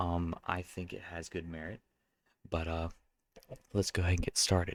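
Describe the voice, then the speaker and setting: A soft-spoken man talks at a moderate pace, with a dry, close sound and no echo. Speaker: card game content creator. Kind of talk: casual commentary video. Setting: at home late at night. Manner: hesitant with fillers.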